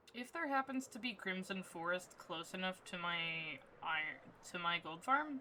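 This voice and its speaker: A woman talks quietly at a moderate pace. Her pitch sits in the medium range, and her intonation is lively. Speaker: streamer. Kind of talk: casual gameplay livestream chat. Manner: quiet, low volume; low energy.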